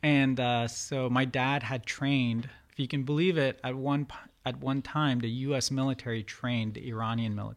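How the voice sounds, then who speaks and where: A man with an American accent talks at a moderate pace in a plain, everyday voice of medium pitch. His intonation is fairly even, and the recording is very clean with a silent background. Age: 30s. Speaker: painter. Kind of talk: interview.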